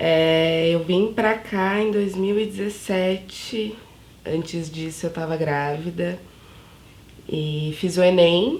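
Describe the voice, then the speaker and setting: A woman's fairly low voice at a very slow pace, with ordinary pitch variation and audible room echo. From São Paulo outskirts, Brazil. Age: 20s. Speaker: university student, mother. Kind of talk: documentary interview.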